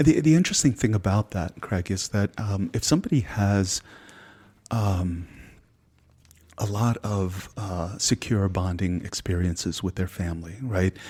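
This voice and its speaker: In a very clean recording with a silent background, a man with a fairly low pitch speaks at a moderate pace, somewhat breathy, with ordinary pitch variation. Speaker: psychedelic somatic therapist. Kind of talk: interview conversation. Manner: halting; soft-spoken.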